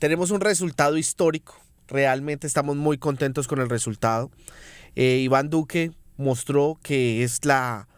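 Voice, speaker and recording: In a very clean recording with a silent background, a man with a fairly high-pitched voice talks at a fairly slow pace with ordinary pitch variation. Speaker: politician. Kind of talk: political interview.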